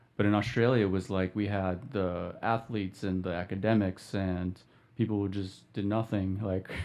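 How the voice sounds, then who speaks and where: A plain, everyday voice with an American accent moves at a moderate pace with fairly even intonation. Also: man, fairly low pitch for a man. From California. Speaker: business owner. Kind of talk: interview.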